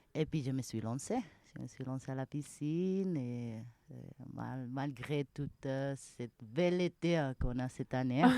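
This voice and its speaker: A woman with a very deep, low pitch and a dark, mellow tone speaks fairly slowly with ordinary pitch variation. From Spain, Malaga. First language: Spanish (speaking French). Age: young. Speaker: mountain restaurant manager. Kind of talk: interview. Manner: halting.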